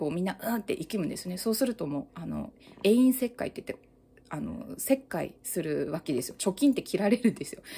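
Dark, mellow-toned woman's voice with very wide pitch swings. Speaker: mental health YouTuber, new mother; mental health YouTuber. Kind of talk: casual monologue. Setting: at home holding baby on balance ball. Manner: loud. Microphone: phone near.

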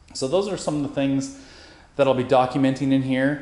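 A man speaks in a dark, mellow tone. Audible room echo surrounds his voice. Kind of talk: casual vlog tour narration. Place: garage. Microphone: phone near.

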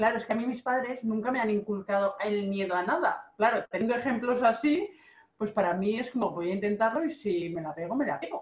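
Somewhat breathy, a woman speaks fairly quickly at a fairly high pitch with lively intonation. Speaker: online marketing coach and video host. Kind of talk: casual interview.

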